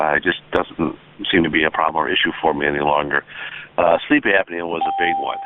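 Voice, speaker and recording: Through noticeable background noise, the man keeps a fairly quick pace. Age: 60s. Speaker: veterinarian and product distributor. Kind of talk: testimony. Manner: halting, many fillers.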